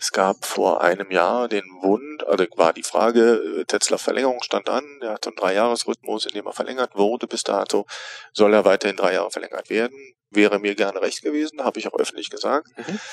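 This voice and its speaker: Over noticeable background noise, a man talks at a fairly quick pace in a dry, close sound with no echo. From Rhineland, Germany (Neuss). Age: 40s. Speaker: theatre director. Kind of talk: interview. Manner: relaxed. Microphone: cheap headset, slightly overdriven recording.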